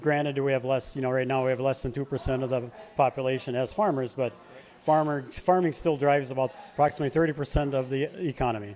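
At a fast pace, a man talks in a medium pitch with a slightly mellow tone and fairly even intonation.

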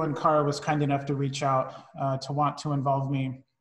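Somewhat breathy, a man talks at a moderate pace. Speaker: wine tasting instructor. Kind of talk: online class introduction. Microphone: video call.

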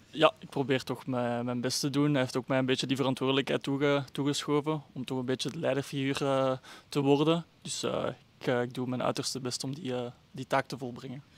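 A man's fairly quick, monotone, flat delivery in a dry sound with no echo. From Flemish Brabant, Belgium (Kortenberg); Flemish Brabant, Belgium. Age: 20s. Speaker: amateur footballer. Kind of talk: interview. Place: stadium. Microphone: handheld.

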